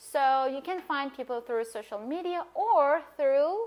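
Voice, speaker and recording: This woman's voice is high-pitched with lively intonation. She speaks fairly slowly. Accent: Persian. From Iran. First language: Persian. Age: 20s. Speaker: language coach and polyglot. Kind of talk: casual vlog talk.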